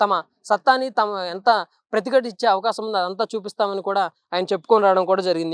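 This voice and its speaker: A woman speaks at a medium pitch in a plain, everyday voice, with dry, close sound, no echo and a quiet background. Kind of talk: news analysis narration.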